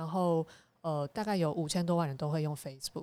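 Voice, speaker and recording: There is a woman with an ordinary speaking voice and ordinary pitch variation in a very clean recording with a silent background. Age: young. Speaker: association chairperson, digital diplomacy activist. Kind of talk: casual chat.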